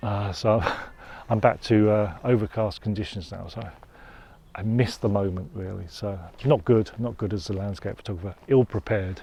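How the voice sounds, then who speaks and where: A man speaks at a moderate pace with a fairly low pitch and fairly even intonation. His voice is somewhat breathy and dark, mellow in tone, with big swings in loudness. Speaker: landscape photographer. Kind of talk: outdoor vlog narration. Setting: outdoors. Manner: halting, with many fillers.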